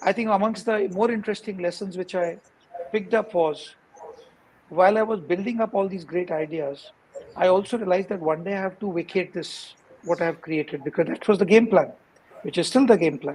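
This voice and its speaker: A man's high-pitched voice at a fairly quick pace, with ordinary pitch variation and noticeable background noise. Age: 50s. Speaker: founder of an accounting firm. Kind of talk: interview. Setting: live stream.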